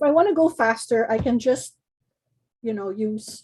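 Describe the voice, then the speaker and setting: A woman with a somewhat breathy, dark, mellow tone at a fairly slow pace. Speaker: card-making design team member demonstrating. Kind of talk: craft tutorial demo.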